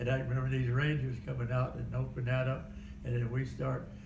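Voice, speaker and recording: A man with an American accent speaks at a medium pitch in a room with audible echo. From Kansas. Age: 90s. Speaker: war veteran. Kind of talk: oral history interview. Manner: halting.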